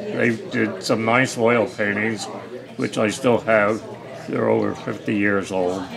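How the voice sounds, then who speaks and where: A man with an American accent, fairly low pitch, fairly even intonation, a fairly slow pace, and noticeable background noise. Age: 80s+. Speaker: war veteran. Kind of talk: interview answer.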